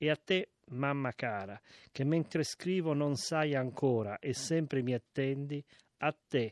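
In a dry, close recording with no echo and a quiet background, a man with an unremarkable speaking voice talks at a fairly high pitch with ordinary pitch variation. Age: 60s. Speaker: reader of a historical letter. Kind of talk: reading aloud.

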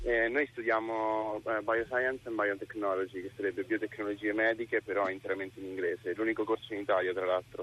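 Talking at a fairly quick clip with hardly any pauses, this man has a fairly low pitch and a monotone, flat delivery. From Rome, Italy. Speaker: university student. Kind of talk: radio interview.

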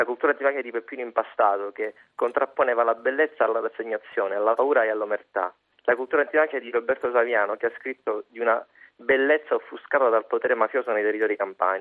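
This man talks at a very fast pace, his medium pitch held to fairly even intonation. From Calabria, Cosenza. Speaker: student activist, event organizer. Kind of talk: radio statement.

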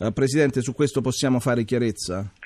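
With a plain, everyday voice, a man talks with ordinary pitch variation in a dry, close recording with no echo. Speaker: radio host. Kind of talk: listener question segment.

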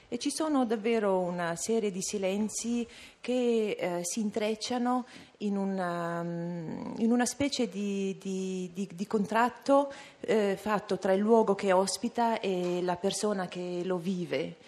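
A very slow delivery in a Dolomites accent, with ordinary pitch variation. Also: woman, medium pitch for a woman. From Val Badia, South Tyrol, Italy. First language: Ladin (speaking Italian). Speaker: poet. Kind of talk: interview. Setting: live broadcast at a literature festival. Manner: halting.

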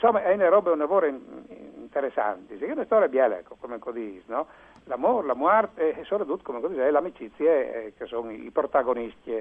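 A very fast pace with very wide pitch swings and big swings in loudness. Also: man, fairly high pitch for a man. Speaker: literary translator. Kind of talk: radio interview. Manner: halting.

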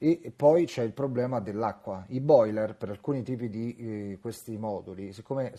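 A man's fairly low voice with a dark, mellow tone and ordinary pitch variation, over a quiet background. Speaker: radio correspondent. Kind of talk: field report. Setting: remote link from the field. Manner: concise, clear.

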